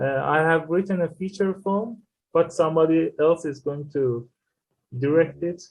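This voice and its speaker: Speaking at a moderate pace with a non-native accent, a man uses a fairly high pitch with ordinary pitch variation. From Iran. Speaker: filmmaker and screenwriter. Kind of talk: interview. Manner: halting.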